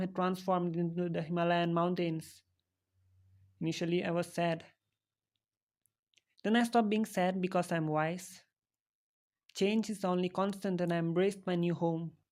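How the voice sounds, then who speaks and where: In an Indian accent, a woman with a fairly low pitch speaks at a moderate pace in a monotone, flat intonation, leaving long, frequent pauses, on a very clean recording with a silent background. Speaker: animated character narrator. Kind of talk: comedic scripted narration. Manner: deadpan.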